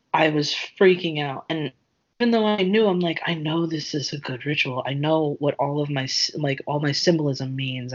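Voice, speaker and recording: Soft-spoken and with an American accent, the speaker talks at a moderate pace. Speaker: podcast co-host. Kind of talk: casual chat.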